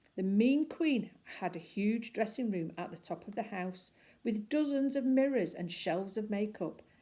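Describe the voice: Here the text is simply read aloud, plain reading aloud.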